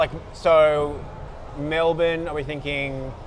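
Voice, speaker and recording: Against noticeable background noise, a man with an Australian accent speaks at a fairly high pitch in a flat monotone. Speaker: comedy channel host. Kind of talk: mock interview host in comedy sketch.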